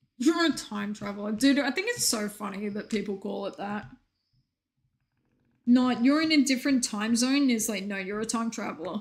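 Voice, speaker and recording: Speaking in a slight Australian accent, a woman with a fairly high pitch and a somewhat breathy voice talks at a moderate pace in an animated tone with ordinary pitch variation. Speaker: video game streamer. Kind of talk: casual chat.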